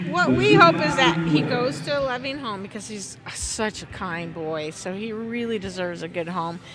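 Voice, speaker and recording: A woman speaks at a moderate pace with a fairly low pitch, lively intonation and hardly any pauses. Her loudness swings widely, with music in the background and audible room echo. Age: 60s. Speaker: horse owner and breeder. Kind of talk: interview. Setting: at a horse sale arena.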